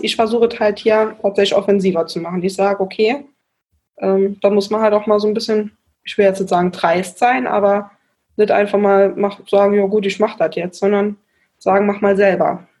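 This is a plain, everyday voice with fairly even intonation, moving at a moderate pace. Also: woman. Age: 20s. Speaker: volunteer mayor. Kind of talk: interview.

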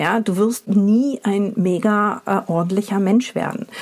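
Speaking very slowly, a woman keeps a medium pitch and fairly even intonation. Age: 40s. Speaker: podcast host and company founder. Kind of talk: solo podcast monologue. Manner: casual, with many filler sounds.

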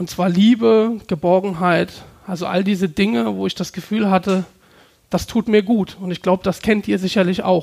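A man's high-pitched voice with ordinary pitch variation, moderate pace, and a very clean recording with a silent background. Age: 30s. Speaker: entrepreneur. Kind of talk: talk to a live audience.

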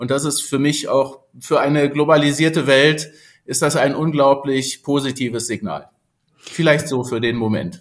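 A man's unremarkable speaking voice, fairly high in pitch, with fairly even intonation and a moderate pace. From Berlin (Spandau). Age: 50s. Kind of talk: interview.

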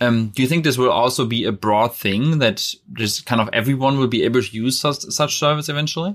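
Pausing hardly at all, a man talks at a fairly quick pace with ordinary pitch variation. The recording is very clean, with a silent background. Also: medium pitch for a man. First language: German. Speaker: podcast host. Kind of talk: casual interview.

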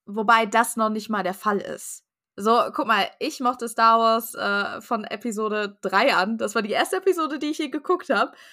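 Bright and sharp in tone, a woman with a fairly high voice speaks at a moderate pace in an animated way with lively intonation, on a very clean recording with a silent background. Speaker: podcast guest, fan. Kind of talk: casual chat.

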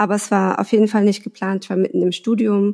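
A woman's medium-pitched voice with a dark, mellow tone, on a very clean recording against a silent background. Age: 30s. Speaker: mother sharing fertility treatment story. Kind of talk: personal interview, emotional testimony.

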